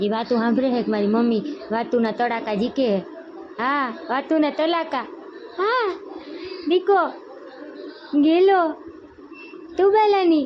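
Noticeable background noise accompanies a voice whose pitch swings very widely. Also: woman, high pitch for a woman. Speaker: family vlogger and mother. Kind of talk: baby talk to infant while vlogging. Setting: at home, windy dusty day.

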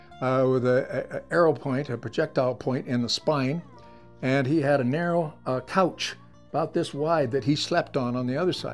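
Faint music plays in the background. A man talks at a moderate pace with ordinary pitch variation. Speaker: museum storyteller. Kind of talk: storytelling interview. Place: home room. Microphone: lapel.

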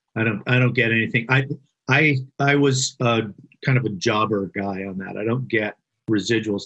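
A man speaks in an ordinary speaking voice with an American accent. His pace is moderate and his pitch variation is ordinary. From Vermont, then California from early teens. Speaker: screenwriter. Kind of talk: casual interview.

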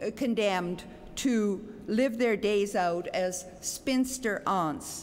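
Here a woman is speaking. Her pitch varies in an ordinary way. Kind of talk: acceptance speech. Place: hall. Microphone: podium.

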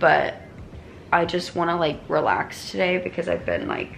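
A woman speaks with vocal fry. Light background noise sits underneath. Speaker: vlogger. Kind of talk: casual vlog chat. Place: home room. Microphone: phone near.

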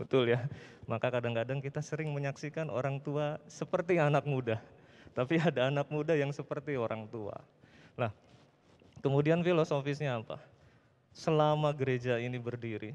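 The man's pitch is fairly high. He speaks at a fairly quick pace. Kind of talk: speech at church anniversary. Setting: church with audience. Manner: animated, interacts with audience. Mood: warm, informal, joking. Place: church. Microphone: handheld.

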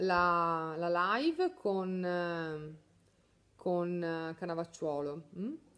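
This is a woman's voice. Her pitch sits in the medium range. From northern Italy, Mantua; northern Italy. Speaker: beauty salon owner and trainer; trainer. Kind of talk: live stream chat. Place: home room. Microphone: phone near.

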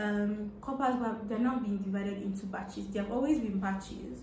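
A woman speaks in a room with audible echo. There is light noise in the background. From Nigeria. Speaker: content creator, social media manager, youth corps member. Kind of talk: interview answer. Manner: casual, conversational. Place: home room. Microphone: camera far.

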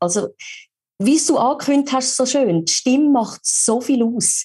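A woman talks in a Swiss accent. Her pace is fairly slow. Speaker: voice actor. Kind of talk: podcast interview answer.

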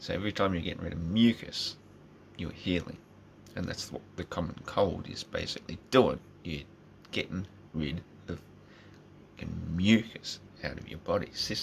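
With light background noise, a man speaks at a moderate pace in a very deep, low voice, with big swings in loudness and long, frequent pauses. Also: ordinary pitch variation. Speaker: vlogger. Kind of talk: casual vlog rant. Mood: opinionated, informal, swearing. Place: home room. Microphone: phone near.

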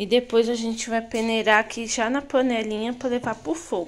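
This woman has a normal speaking voice with a fairly high pitch. She keeps a moderate pace and fairly even intonation. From Brazil. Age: 20s. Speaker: cooking vlogger. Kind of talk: cooking tutorial. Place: kitchen. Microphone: phone near.

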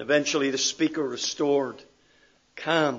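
A man with a Northern Irish accent, fairly quick in pace, in a monotone, flat intonation. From Northern Ireland. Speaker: pastor. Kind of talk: sermon. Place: church. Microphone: podium.

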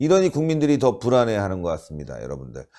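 A dark, mellow tone races along at a very fast pace with very wide pitch swings. The recording is very clean, with a silent background. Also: man. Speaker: political YouTube show host. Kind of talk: political commentary interview.

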